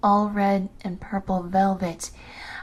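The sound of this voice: An unforced reading voice carries the text.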